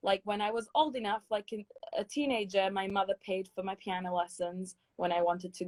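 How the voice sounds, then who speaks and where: The speaker has a British accent and a fairly quick pace. The recording is dry and close, with no echo. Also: woman. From London, England. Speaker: singer and choir director. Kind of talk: interview. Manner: hesitant, many fillers.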